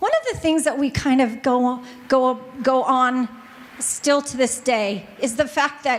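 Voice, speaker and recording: A woman with an American accent, a high pitch, and an animated tone, against noticeable background noise. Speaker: family music store owner, business panelist. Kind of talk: panel presentation.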